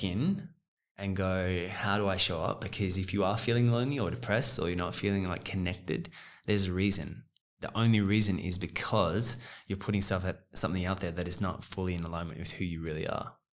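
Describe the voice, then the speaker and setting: A man with a fairly low pitch talks fairly quickly in an ordinary speaking voice, his intonation fairly even. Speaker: guest. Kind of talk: casual chat.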